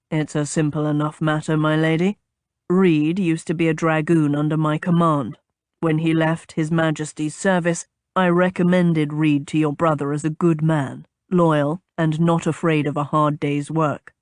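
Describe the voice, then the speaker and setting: A put-on character voice, raspy and rumbling, comes at a middle pitch and moderate pace in a calm tone with monotone, flat intonation. The background is quiet. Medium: read story. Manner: even, calm, reserved.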